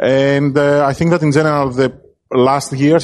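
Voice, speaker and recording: A man speaks with a Greek accent. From Greece. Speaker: film director. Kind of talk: interview. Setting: film festival.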